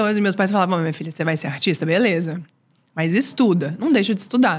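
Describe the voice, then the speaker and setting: A woman's voice is somewhat breathy, with lively intonation. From Brazil, Recife-born, raised in Brasília; Brazil. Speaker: singer and writer; podcast guest. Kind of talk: interview. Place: studio. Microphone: studio mic.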